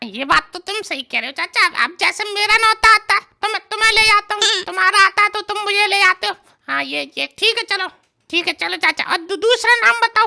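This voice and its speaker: A woman's cartoonish character voice, extremely high-pitched and very fast, with a dry, close sound and no echo. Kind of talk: desi comic cartoon dialogue. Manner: eager, wheedling, easygoing.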